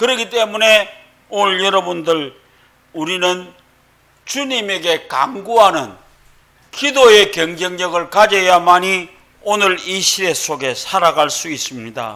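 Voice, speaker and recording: A man with a Gyeongsang accent uses a raised, projected voice at a high pitch with lively intonation. He talks very slowly, with long, frequent pauses. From Gyeongsang region, South Korea. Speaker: pastor. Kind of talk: sermon.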